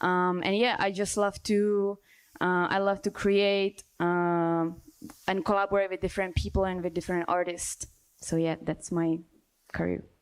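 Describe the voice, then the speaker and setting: Someone speaks with a Czech accent in monotone, flat intonation at a moderate pace, on a very clean recording with a silent background. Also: woman. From Czech Republic. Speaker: dancer and choreographer. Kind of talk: panel discussion.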